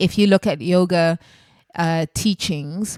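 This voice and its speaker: The sound is dry and close, with no echo. A woman with an ordinary speaking voice talks at a fairly low pitch with fairly even intonation. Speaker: spiritual healing podcast host. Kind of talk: solo podcast monologue on healing.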